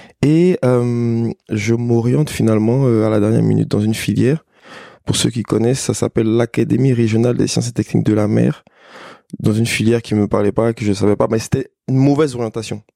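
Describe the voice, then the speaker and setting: With a dark, mellow tone and medium pitch, a man speaks at a fairly quick pace and very even loudness, in a dry, close sound with no echo. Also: ordinary pitch variation. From Côte d'Ivoire, Abidjan. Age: 30s. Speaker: entrepreneur. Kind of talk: casual interview.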